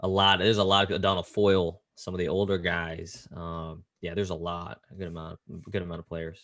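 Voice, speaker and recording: A man's very deep, low voice with an American accent, at a fairly quick pace with hardly any pauses. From US West Coast, Silicon Valley, California. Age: 20s. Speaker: basketball assistant coach. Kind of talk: interview. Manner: casual, animated storytelling.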